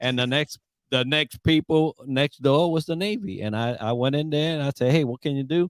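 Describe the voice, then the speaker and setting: An unremarkable speaking voice from a man, fairly high in pitch, with ordinary pitch variation, a moderate pace, and a dry, close sound with no echo. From Puerto Rico and the Bronx, New York. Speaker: Navy veteran and leadership coach. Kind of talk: podcast interview.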